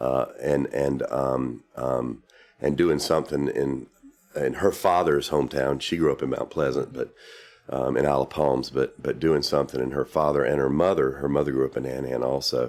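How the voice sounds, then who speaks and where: A man with a South Carolina accent, very deep and low in pitch, with vocal fry, monotone, flat intonation and a moderate pace. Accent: Southern US (South Carolina). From US South, South Carolina. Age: 60s. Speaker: real estate developer. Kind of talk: interview. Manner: halting, many fillers.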